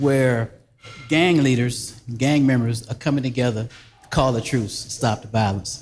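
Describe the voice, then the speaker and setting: A man at medium pitch in a South Carolina accent, with fairly even intonation at a moderate pace. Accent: US Southern (South Carolina). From South Carolina Low Country (Barnwell). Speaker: actor. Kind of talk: casual interview.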